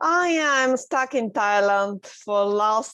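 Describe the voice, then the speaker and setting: A woman speaks at a very slow pace in a Russian accent, her pitch fairly high. The background is quiet. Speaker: underwater artist and scuba instructor. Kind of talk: interview. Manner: halting.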